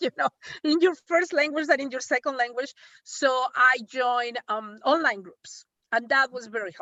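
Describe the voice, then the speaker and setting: With a high pitch and ordinary pitch variation, a woman speaks at a moderate pace while her loudness swings widely. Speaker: breast cancer survivor. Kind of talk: testimony. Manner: halting.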